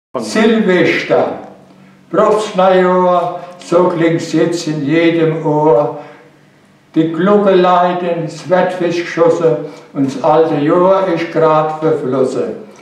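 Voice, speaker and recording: In a room with audible echo, a man with a high voice talks at a very slow pace, his intonation fairly even. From Palatinate, Germany. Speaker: dialect poet. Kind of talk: poetry reading. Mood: cheerful, humorous. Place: studio.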